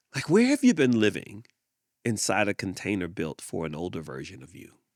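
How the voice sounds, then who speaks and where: With vocal fry and very wide pitch swings, a man talks on a very clean recording with a silent background. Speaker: podcast host. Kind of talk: reflective monologue. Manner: repetitive, emphatic; slow, with deliberate pauses.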